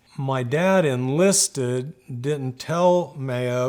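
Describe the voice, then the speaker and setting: The voice belongs to a man and is an ordinary speaking voice. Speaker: son of a bluegrass musician. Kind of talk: oral history interview answer. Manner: casual, reminiscing, some repetitions.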